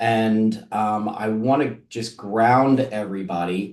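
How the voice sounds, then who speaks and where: With an unremarkable speaking voice, a man talks at a fairly low pitch and ordinary pitch variation. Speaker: marketing agency executive. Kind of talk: webinar presentation. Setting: online webinar. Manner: many filler words.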